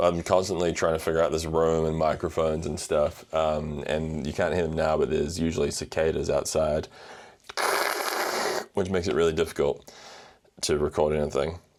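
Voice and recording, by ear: At a moderate pace, a man speaks with an extremely low pitch, little pitch movement and a slightly mellow tone.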